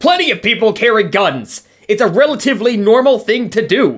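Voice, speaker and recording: This is a cartoonish character voice with a fairly high pitch. The pace is fairly quick. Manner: curt, suspicious.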